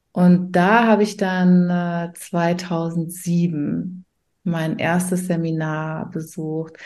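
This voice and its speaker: At a very slow pace, a woman talks with a fairly low pitch and monotone, flat intonation. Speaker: coach and mentor for self-employed mothers. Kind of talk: casual interview chat. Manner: frequent hesitations and fillers.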